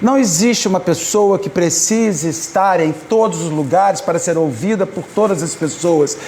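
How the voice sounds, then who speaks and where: Amid noticeable background noise and audible room echo, a man speaks with a high pitch. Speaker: spiritist lecturer. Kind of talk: public lecture. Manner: halting.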